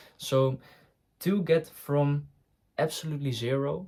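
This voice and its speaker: A man speaks with a non-native accent. His voice is fairly high in pitch and somewhat breathy. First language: not English. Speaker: online business coach. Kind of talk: talking-head tutorial. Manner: hesitant, frequent fillers and restarts.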